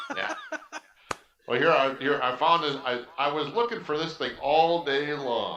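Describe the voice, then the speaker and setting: Audible room echo carries a man's fairly high voice with an Upper Midwest accent and very wide pitch swings. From Wisconsin. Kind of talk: casual chat.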